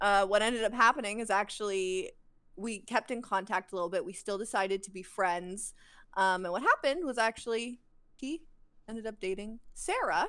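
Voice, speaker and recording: This woman has a fairly high pitch, a bright, sharp tone and ordinary pitch variation, talking at a fairly quick pace with a Canadian accent. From Alberta, Canada. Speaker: podcast co-host. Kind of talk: casual chat.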